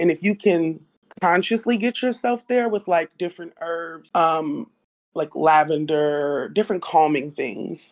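Against a quiet background, a woman speaks at a fairly low pitch. Her pace is fairly slow and her intonation lively. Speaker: online community participant. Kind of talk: casual discussion. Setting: online voice call. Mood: calm, explanatory. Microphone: video call.

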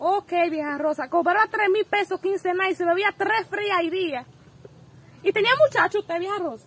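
At a moderate pace, a woman speaks at an extremely high pitch with ordinary pitch variation. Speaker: interviewer, granddaughter, channel host. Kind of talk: casual talk to camera. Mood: playful, joking. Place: home room. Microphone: handheld.

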